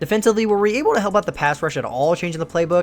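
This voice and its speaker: Upbeat in tone, a man talks at a very fast pace with lively intonation over noticeable background noise. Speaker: gaming youtuber. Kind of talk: gameplay commentary. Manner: casual, upbeat.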